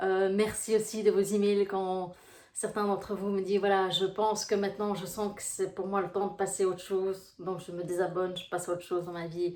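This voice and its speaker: With a Brussels accent, a woman talks at a fairly quick pace in monotone, flat intonation, her loudness swinging widely. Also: medium pitch for a woman. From Belgium, Brussels. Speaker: life coach. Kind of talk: casual vlog talk to viewers. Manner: hesitant, many fillers.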